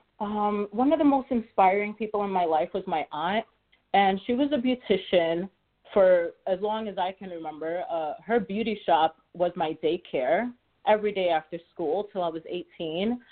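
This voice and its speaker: A woman's medium-pitched voice with lively intonation at a moderate pace. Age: 40s. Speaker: realtor. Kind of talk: radio interview. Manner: halting, repeats words.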